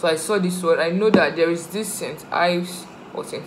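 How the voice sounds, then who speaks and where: A woman speaks in an unremarkable speaking voice, fairly low in pitch, at a moderate pace with fairly even intonation, over light background noise. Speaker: vlogger. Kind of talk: casual vlog chat. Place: home room. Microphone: phone near.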